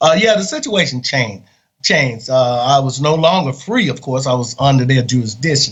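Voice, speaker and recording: A man with an American accent speaks at medium pitch and a fairly quick pace. His voice is somewhat breathy, with lively intonation. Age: 60s. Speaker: exoneree, former death row inmate. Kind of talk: interview testimony. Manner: halting with many fillers.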